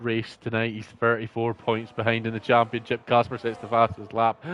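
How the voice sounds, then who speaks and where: A man with a Scottish accent speaks at a moderate pace and a medium pitch. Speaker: sim racing league commentator. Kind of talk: live commentary.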